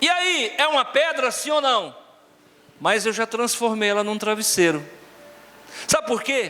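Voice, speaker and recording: A man with a high voice projects loudly in an animated tone, his pitch swinging very widely at a fairly slow pace with long, frequent pauses. The room echoes audibly and background noise is noticeable. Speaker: pastor. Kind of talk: sermon. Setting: church with congregation.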